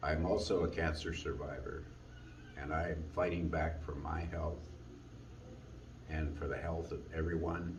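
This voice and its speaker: Monotone, flat intonation comes at a fairly slow pace with long, frequent pauses. Noticeable background noise and audible room echo fill the recording. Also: man. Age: 70s. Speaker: long-distance hiker. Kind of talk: personal testimony.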